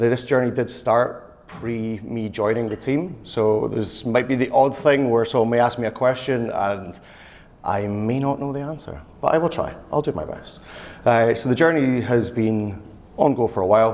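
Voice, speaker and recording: A man with a Scottish accent speaks at a medium pitch with ordinary variation, with audible room echo around him. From Scotland. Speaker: e-commerce and marketing manager. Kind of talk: conference talk. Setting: stage with audience. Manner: fast.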